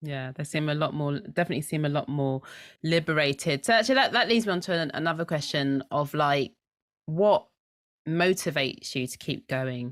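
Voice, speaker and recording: A woman talks at a fairly quick pace in a very deep, low voice. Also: ordinary pitch variation, very clean recording, silent background. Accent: London. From London. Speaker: podcast host. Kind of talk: casual interview chat.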